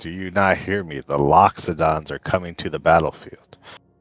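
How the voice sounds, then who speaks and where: A man shouts in a booming, put-on character voice with very deep, low pitch and big swings in loudness. His intonation stays fairly even at a moderate pace. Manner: yelling.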